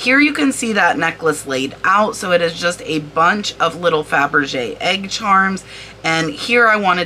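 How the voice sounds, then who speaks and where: At a fairly slow pace, a woman with a medium-pitched voice speaks in an animated tone over noticeable background noise. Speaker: online reseller and video creator. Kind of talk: tutorial-style product research walkthrough.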